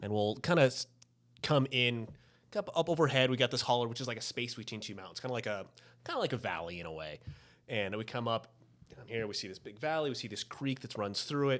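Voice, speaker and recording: With an American accent, a man at medium pitch talks at a very fast pace with lively intonation and big swings in loudness. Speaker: podcast host. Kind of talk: casual chat.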